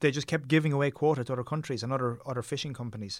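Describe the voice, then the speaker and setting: On a very clean recording with a silent background, a man talks very fast with a Tipperary accent. His medium pitch has ordinary variation. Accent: Irish (Tipperary). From Ireland, Tipperary. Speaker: documentary filmmaker. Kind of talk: interview conversation.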